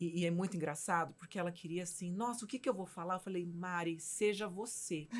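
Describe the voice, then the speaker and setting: A woman with an unremarkable speaking voice talks at a fairly low pitch and a fairly quick pace. Her intonation is fairly even, with hardly any pauses. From Minas Gerais, Brazil. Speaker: physician and mentor, show host. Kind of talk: casual chat.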